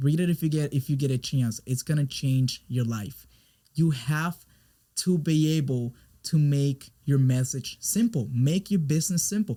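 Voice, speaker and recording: This man speaks with a Spanish accent at a moderate pace, his fairly high pitch moving with ordinary variation, his tone dark and mellow, somewhat breathy, and his loudness very even. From Puerto Rico. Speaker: business coach and brand expert. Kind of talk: interview conversation. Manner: halting, frequent repetitions.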